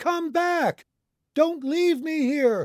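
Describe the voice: On a very clean recording with a silent background and a dry, close sound with no echo, a man uses a put-on character voice at an extremely high pitch, speaking at a very slow pace with ordinary pitch variation.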